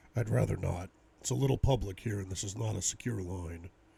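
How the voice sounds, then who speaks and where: A man puts on a raspy, gruff character voice with a very deep, low pitch. He delivers it at a very fast pace. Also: lively intonation. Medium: read story. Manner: clipped, businesslike.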